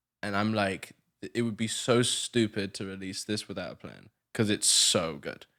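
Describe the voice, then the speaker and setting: A man with an English accent and a fairly low pitch speaks in a bright, sharp tone with fairly even intonation, in a very clean recording with a silent background. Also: moderate pace. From southern England. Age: 20s. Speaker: musician and producer. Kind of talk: casual chat.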